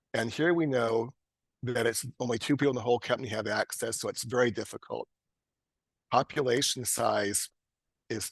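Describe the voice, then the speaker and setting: A man speaks at a medium pitch with ordinary pitch variation, the sound dry and close with no echo. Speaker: cybersecurity guest speaker. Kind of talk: lecture. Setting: video call. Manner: fast.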